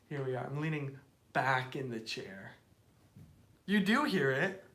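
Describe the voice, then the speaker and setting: An animated tone comes through in an American accent at a moderate pace. Room echo is audible. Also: man. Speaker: live streamer. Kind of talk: casual chat.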